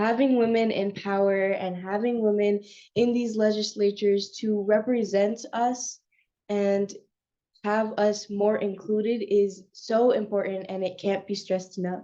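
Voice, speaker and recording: A woman speaks with a medium pitch. Her delivery is monotone and flat at a fairly slow pace. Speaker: youth panel moderator. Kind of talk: panel moderation.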